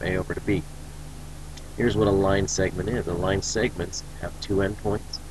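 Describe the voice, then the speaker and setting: A man speaks with a fairly low pitch and monotone, flat intonation. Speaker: teacher. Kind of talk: recorded lecture.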